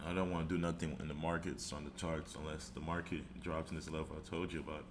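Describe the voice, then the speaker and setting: At a very fast pace, a man with a very deep, low pitch and vocal fry talks with fairly even intonation. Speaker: trader. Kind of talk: trading chart breakdown.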